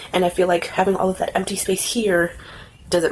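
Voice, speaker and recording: Medium pitch from a woman, amid noticeable background noise. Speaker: beauty vlogger. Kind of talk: casual vlog tutorial. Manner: casual, filler words.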